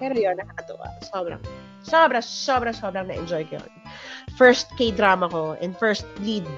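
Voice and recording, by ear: Over music in the background, a woman at medium pitch speaks at a moderate pace with lively intonation and big swings in loudness.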